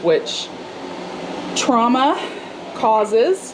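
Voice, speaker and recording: Against noticeable background noise, a woman talks with a slight Southern US accent. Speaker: cooking vlogger. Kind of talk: cooking tutorial; casual chat. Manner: conversational, many fillers.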